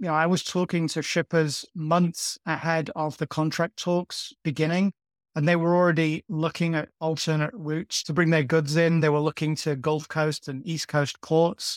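A man with a northern English accent, fairly high in pitch, at a moderate pace with hardly any pauses and fairly even intonation, in a dry, close sound with no echo. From northern England. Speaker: journalist. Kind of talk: interview. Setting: remote call.

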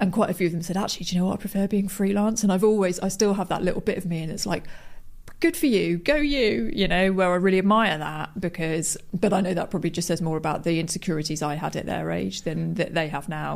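A woman speaks very fast in a fairly low voice with vocal fry. Her pitch varies in an ordinary way, and the recording is very clean with a silent background. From English West Midlands, rural Worcestershire. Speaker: radio station editor. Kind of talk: interview.

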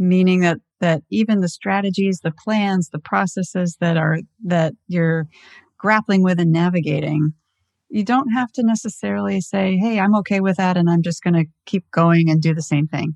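A woman with an American accent speaks at a moderate pace in a fairly low voice with ordinary pitch variation; it is a plain, everyday voice. The sound is dry and close with no echo, against a quiet background. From Southern California. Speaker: automotive marketing executive. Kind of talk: interview.

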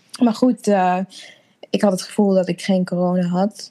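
At a fairly slow pace, a woman with a dark, mellow tone and medium pitch speaks in a monotone, flat intonation, the sound dry and close with no echo. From Netherlands (Apeldoorn), born in Suriname. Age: 30s. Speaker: interviewee, new mother. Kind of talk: personal story in interview. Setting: video call.

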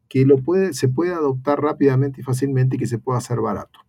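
This man talks at a very fast pace in a somewhat breathy, medium-pitched voice. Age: 50s. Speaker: technology company executive. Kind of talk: panel interview.

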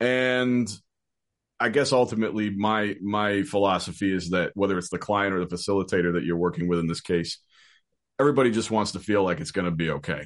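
A normal speaking voice at a fairly quick pace, ordinary pitch variation and a quiet background. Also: man, fairly low pitch for a man. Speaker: voiceover artist and virtual session producer. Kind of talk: casual interview.

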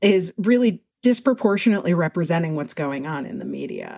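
With a normal speaking voice, a woman talks at a fairly low pitch with lively intonation, the sound dry and close with no echo. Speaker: extremism researcher and nonprofit founder. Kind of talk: interview.

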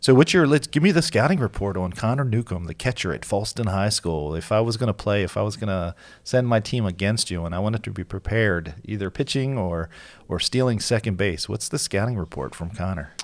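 In a plain, everyday voice, a man with a fairly low pitch talks at a fairly quick pace with lively intonation, on a very clean recording with a silent background. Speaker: podcast host. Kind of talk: casual interview chat. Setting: studio.

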